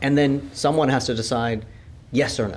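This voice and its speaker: With a Californian accent, a man speaks at a fairly slow pace amid audible room echo. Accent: American (Californian). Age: 50s. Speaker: law and business professor. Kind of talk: conversational interview. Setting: university conference venue.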